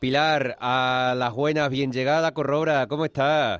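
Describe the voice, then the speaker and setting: A plain, everyday voice speaks at a moderate pace. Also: man. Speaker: radio host. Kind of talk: casual radio chat.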